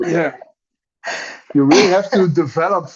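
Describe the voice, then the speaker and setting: A man speaks with a Dutch accent. He keeps a moderate pace. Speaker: Lenormand author and teacher. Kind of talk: casual interview chat. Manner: halting, with self-repeats.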